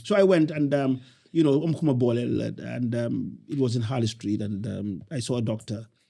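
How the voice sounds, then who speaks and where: Using ordinary pitch variation, a man with a Senegalese accent speaks at a moderate pace in a medium pitch with a dark, mellow tone. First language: Wolof. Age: 60s. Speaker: entrepreneur. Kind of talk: interview conversation. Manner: halting.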